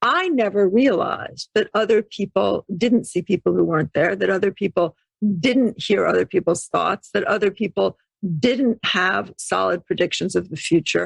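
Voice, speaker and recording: Moderately paced speech from a woman with an American accent, the sound dry and close with no echo. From New York City. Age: 60s. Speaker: intuition teacher and author. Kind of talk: podcast interview.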